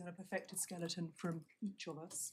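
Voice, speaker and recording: A soft-spoken, somewhat breathy woman with a British accent at a fairly quick pace. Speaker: barrister. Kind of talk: courtroom legal argument. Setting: courtroom. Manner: formal.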